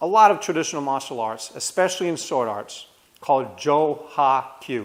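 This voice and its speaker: This man has a Rhode Island accent and lively intonation. He speaks at a moderate pace. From US Northeast, Rhode Island. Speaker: martial arts instructor. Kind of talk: tutorial. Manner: casual.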